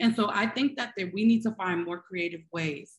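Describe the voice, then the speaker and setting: Over a quiet background, a woman with an American accent speaks at a moderate pace and medium pitch with ordinary pitch variation. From Brooklyn, New York. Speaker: tech education nonprofit CEO. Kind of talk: panel discussion. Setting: video call. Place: home room. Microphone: video call.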